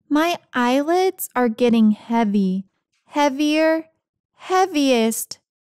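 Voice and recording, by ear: A woman's high-pitched put-on character voice, very slow with lively intonation and a slightly mellow tone, the sound dry and close with no echo.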